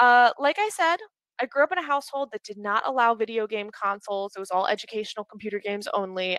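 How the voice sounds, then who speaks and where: Her fairly high voice, in an American accent, is bright, sharp, and animated, moving at a fairly quick pace with ordinary pitch variation and dry, close sound with no echo. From Pittsburgh, Pennsylvania, US. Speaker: speaker at a community talk event, recruiter and gamer. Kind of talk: presentation talk. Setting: video call. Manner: fast.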